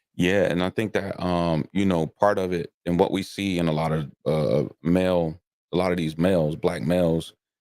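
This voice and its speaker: With an American accent and a very deep, low pitch, a man talks at a moderate pace with fairly even intonation in a dry, close sound with no echo. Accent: Southern accent coming back. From South Carolina, then Delaware. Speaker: podcast host. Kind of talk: casual chat. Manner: repetitive filler words, stammering starts.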